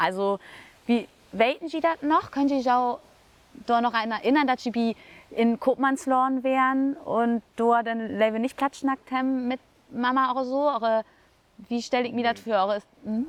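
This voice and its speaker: At a moderate pace, a woman with a high pitch and ordinary pitch variation speaks with long, frequent pauses, the sound dry and close with no echo. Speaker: Low German language coordinator and podcast host. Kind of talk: casual conversation.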